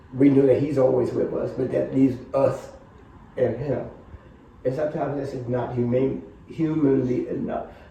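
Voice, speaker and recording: Against noticeable background noise, a man talks at a moderate pace, leaving long, frequent pauses. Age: 70s. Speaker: HIV prevention programs manager. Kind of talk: interview answer.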